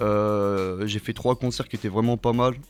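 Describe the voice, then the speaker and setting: A man's fairly low voice with music in the background. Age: 20s. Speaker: rapper. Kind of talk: interview. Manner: hesitant, many fillers.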